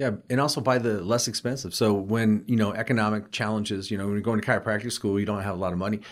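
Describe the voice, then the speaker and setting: Speech with an American accent rushes along at a very fast pace. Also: man, fairly low pitch for a man, fairly even intonation, hardly any pauses. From Colorado. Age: 60s. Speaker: chiropractor and naturopathic practitioner. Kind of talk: casual interview.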